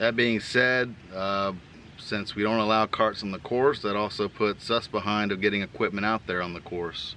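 Monotone and flat, a man's voice moves at a moderate pace, dry with no echo, over light background noise. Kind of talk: casual vlog update. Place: open country. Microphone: phone near.

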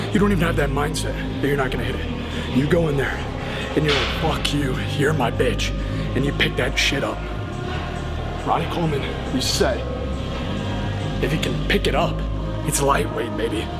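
Loud music plays behind a man speaking. He keeps a moderate pace with long, frequent pauses. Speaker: gym vlogger. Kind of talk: casual vlog chat. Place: gym.

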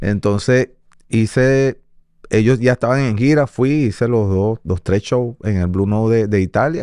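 Against a quiet background, a man's dark, mellow voice holds very even loudness and ordinary pitch variation, with a dry sound and no echo. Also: fairly slow pace. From Venezuela, Caracas. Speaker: salsa timbal percussionist; guest. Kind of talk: interview. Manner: halting, frequent repetitions. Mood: relaxed, sometimes laughing. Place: studio. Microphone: studio mic.

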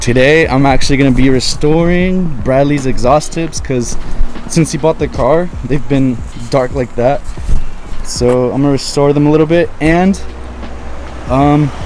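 Music plays in the background as a man talks at a fairly slow pace with long, frequent pauses. His pitch variation is ordinary, and the sound is dry with no echo. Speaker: car vlogger. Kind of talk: casual vlog chat. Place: street. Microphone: phone near.

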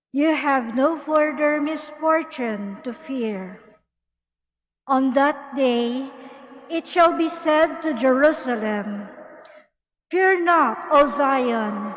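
Speaking at a very slow pace, a woman uses a high pitch with ordinary pitch variation, and the room echo is audible. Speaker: lector. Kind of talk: scripture reading aloud. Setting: cathedral.

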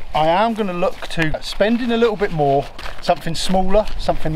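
A man's high-pitched voice with ordinary pitch variation over light background noise. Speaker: wild camping vlogger. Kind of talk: casual vlog chat.

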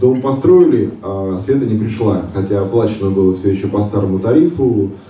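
A man's fairly low voice with ordinary pitch variation at a moderate pace, with audible room echo and light background noise. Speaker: solar power seller and homeowner; speaker. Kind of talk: conference discussion. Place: hall.

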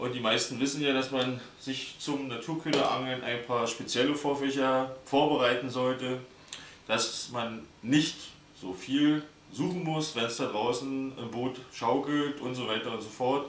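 A man at a fairly slow pace with fairly even intonation, audible room echo and light background noise. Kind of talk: tutorial. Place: home room. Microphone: camera far.

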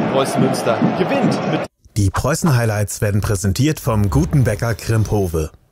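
This man's fairly low pitch moves in very wide swings. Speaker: sports commentator. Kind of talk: match highlights commentary with sponsor slogan. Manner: brisk, energetic play-by-play delivery.

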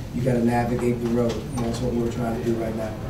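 A man rattles off his words at a very fast pace in a monotone, flat intonation against noticeable background noise. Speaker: basketball coach. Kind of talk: interview answer. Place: hall.

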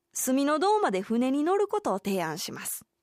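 Speaking with a Kansai accent, a woman uses a high voice at a moderate pace, dry with no echo against a quiet background. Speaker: radio announcer and amateur rakugo performer. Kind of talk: radio segment presentation. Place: studio.

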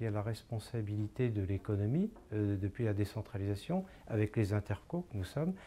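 A man's somewhat breathy, dark, mellow tone at a fairly low pitch, moderate pace, with light background noise. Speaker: local community council president. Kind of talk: interview answer. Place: office. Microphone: lapel.

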